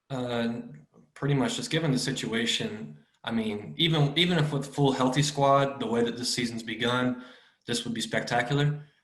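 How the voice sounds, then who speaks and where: A man's voice, with ordinary pitch variation and a moderate pace, comes through with audible room echo. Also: medium pitch for a man. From Kentucky, US. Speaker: football fan. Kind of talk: casual chat.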